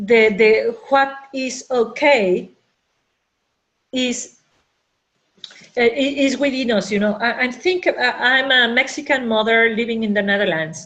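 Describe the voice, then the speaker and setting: Slowish and high-pitched, a woman speaks with ordinary pitch variation and long, frequent pauses. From Mexico. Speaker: business coach. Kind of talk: webinar talk. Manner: halting with many fillers.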